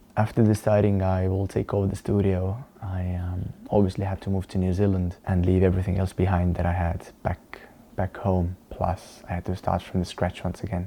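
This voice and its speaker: The man's pitch is very deep and low. His intonation stays monotone and flat. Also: moderate pace. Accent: Estonian. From Estonia. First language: Estonian. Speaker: dance teacher and vlogger. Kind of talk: personal vlog talking to camera. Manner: halting, with repeated words and fillers.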